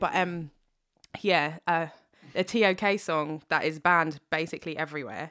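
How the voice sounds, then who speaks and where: A woman in a London accent speaks at a fairly low pitch with fairly even intonation in a very clean recording with a silent background. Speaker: singer-songwriter. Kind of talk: casual chat.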